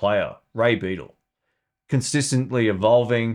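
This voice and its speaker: A man speaks in an Australian accent at a moderate pace with ordinary pitch variation. The recording is very clean, with a silent background. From Melbourne, Australia. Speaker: guitar YouTuber and podcaster. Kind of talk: casual live stream Q&A. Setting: live stream. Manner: casual, chatty, friendly.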